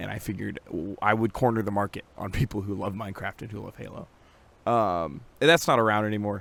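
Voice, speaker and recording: The speech runs at a very fast pace with big swings in loudness. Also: man, fairly low pitch for a man, ordinary pitch variation. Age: 20s. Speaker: vlogger. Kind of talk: casual vlog monologue. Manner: hesitant, many fillers.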